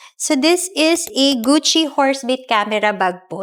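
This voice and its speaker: Noticeable background noise sits behind a woman whose high voice moves through very wide pitch swings. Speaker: pre-loved luxury bag seller. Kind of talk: casual sales talk and interview to camera.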